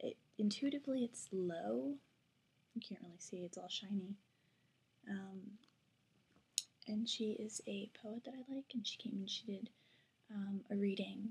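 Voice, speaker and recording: A woman speaks at a fairly slow pace, her voice somewhat breathy. Her tone is dark and mellow, with ordinary pitch variation. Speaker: college student vlogger. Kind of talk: casual vlog. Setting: at home at night. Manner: quiet; hesitant with fillers.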